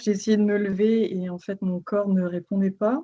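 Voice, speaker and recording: Very slow and monotone, a woman speaks with a dark, mellow tone in a medium pitch and flat intonation. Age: 30s. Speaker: patient sharing testimony. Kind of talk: testimony.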